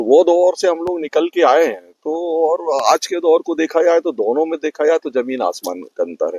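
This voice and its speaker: Hardly pausing at all, a man talks at a moderate pace. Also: dry, close sound with no echo. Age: 60s. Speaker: parent of podcaster. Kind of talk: interview.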